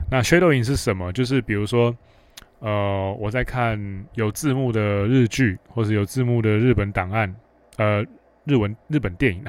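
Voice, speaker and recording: Medium-pitched man at a moderate pace, with ordinary pitch variation. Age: 30s. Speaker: podcast host, dating coach. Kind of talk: solo Q&A monologue.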